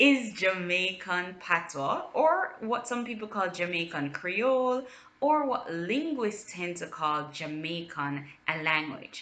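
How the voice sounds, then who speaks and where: A woman's medium-pitched voice at a very slow pace, with very wide pitch swings over noticeable background noise. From Jamaica. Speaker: linguist. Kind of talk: educational talk to camera.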